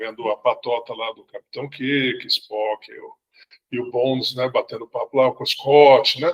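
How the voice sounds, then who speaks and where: A man speaks at a fairly slow pace in a fairly high pitch, with fairly even intonation and a dry, close sound that has no echo. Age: 60s. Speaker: sci-fi fan club member. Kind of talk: casual chat. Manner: halting, many repetitions.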